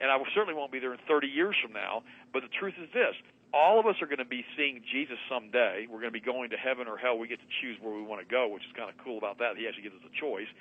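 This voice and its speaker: A man at a very fast pace, medium-pitched with ordinary pitch variation and big swings in loudness. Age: 60s. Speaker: health and wellness radio host, guest. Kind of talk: radio interview monologue, preachy. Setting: radio show via Skype. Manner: animated, emphatic.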